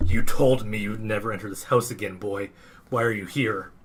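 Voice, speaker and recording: A quiet, put-on character voice with fairly even intonation and big swings in loudness. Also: man, fairly low pitch for a man, moderate pace. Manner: quiet and bitter.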